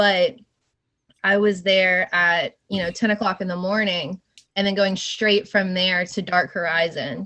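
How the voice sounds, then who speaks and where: A woman speaks with a slight Southern US accent. Her delivery is monotone and flat, at a fairly slow pace. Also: medium pitch for a woman. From Georgia (US South). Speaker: scare actress and stunt woman. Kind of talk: podcast interview.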